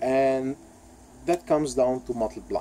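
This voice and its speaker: A man speaks with a non-native accent. His pitch sits in the middle range. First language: not English. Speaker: YouTube vlogger. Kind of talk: opinion rant vlog. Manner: halting, many fillers and repeats.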